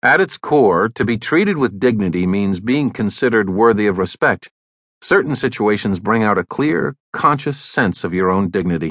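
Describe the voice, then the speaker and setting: A man's ordinary speaking voice, fairly low in pitch with ordinary pitch variation, at a moderate pace, in a dry, close sound with no echo and a quiet background. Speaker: audiobook narrator. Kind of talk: audiobook narration of a magazine essay, read aloud. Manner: formal, even and measured; steady, serious, informative delivery.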